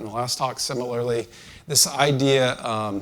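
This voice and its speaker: Here a man talks at a medium pitch with ordinary pitch variation. It is an unremarkable speaking voice. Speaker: conference speaker, engineering leader. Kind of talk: conference talk.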